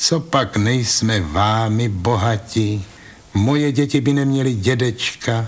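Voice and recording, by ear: The speaker is reading aloud in a natural voice and uses ordinary pitch variation.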